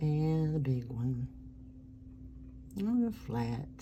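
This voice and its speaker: A woman with an American accent speaks in a relaxed, somewhat breathy tone at a very deep, low pitch, her pitch swinging very widely. Audible room echo surrounds her voice. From US South. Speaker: artist. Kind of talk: casual drawing narration.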